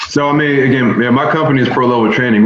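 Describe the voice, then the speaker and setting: Speaking with an American accent, a man uses a medium pitch and ordinary pitch variation, with audible room echo around him. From North Philadelphia. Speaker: former college basketball player, performance trainer. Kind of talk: casual interview.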